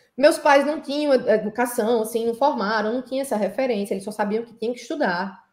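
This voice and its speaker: A woman speaks at a moderate pace. She has a strong northeastern Brazilian accent. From São Paulo, Brazil (Heliópolis), Northeastern parents. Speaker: petroleum engineer. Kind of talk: interview conversation. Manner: halting, many fillers and repetitions.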